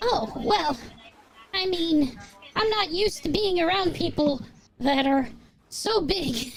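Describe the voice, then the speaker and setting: An extremely high-pitched put-on character voice from a man, at a fairly slow pace. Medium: actual play. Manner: hesitant, stammering.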